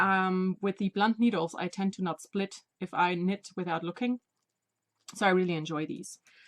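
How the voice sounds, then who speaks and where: Medium pitch and a moderate pace from a woman, her intonation fairly even. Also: dry, close sound with no echo. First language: not English. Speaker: knitting podcaster. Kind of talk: casual video podcast monologue. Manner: halting.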